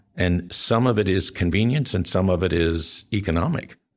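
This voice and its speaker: This man has a very deep, low pitch and an American accent. He speaks at a fairly slow pace. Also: very clean recording, silent background. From Northern Virginia (McLean), early childhood in Texas. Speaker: podcast host. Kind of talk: interview.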